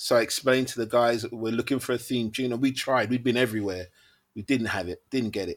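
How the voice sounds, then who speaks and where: A man with a London accent speaks very fast at a medium pitch. His intonation is fairly even, and the recording is very clean with a silent background. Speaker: music manager and producer. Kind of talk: casual interview.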